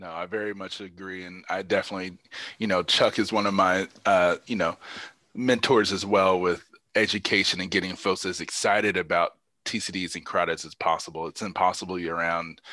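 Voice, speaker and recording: A man with an American accent speaks at a fairly quick pace in a very deep, low voice, monotone and flat. His loudness swings widely against a quiet background. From Indiana. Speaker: neurologist, guest lecturer. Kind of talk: Q&A after a lecture. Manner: halting, many fillers.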